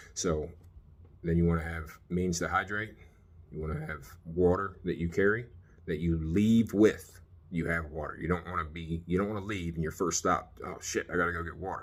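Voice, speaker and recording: This man speaks with an American accent at a moderate pace, his very deep, low voice keeping a fairly even intonation. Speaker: survival gear vlogger, military veteran. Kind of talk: casual gear tutorial. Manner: halting, many fillers.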